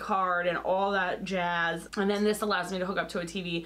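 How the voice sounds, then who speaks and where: A loud woman's voice at medium pitch, flat and monotone, at a moderate pace. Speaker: lifestyle YouTuber. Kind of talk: casual vlog talk to camera. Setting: home.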